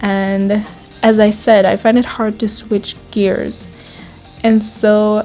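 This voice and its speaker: Speaking very slowly with a German accent, a woman talks at a fairly high pitch while music plays in the background. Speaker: writer. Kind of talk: casual talk to camera.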